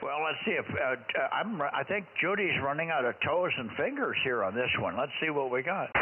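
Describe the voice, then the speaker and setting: A man with an American accent at a moderate pace, hardly any pauses and very even loudness, amid noticeable background noise. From Wisconsin. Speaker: ham radio net control. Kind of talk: casual chat. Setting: radio transmission. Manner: halting.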